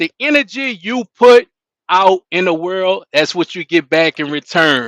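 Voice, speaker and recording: With a New Orleans accent, a man speaks at a fairly slow pace in a high pitch with very wide pitch swings, recorded in a dry, close sound with no echo against a quiet background. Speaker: live stream host. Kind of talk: interview. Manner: casual.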